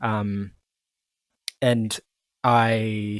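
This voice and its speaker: A man at medium pitch speaks in a monotone, flat way, with a dry, close sound with no echo on a very clean recording with a silent background. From Colombia. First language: Spanish. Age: 20s. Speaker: podcast host. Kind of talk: casual chat. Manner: halting, repeats words.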